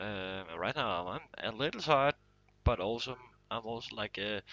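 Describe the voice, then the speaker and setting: Against a quiet background, a man with a medium pitch speaks in a bright, sharp tone with ordinary pitch variation, the sound dry and close with no echo. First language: not English. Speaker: gaming streamer. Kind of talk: live gameplay commentary. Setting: live stream from console. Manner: halting, many fillers.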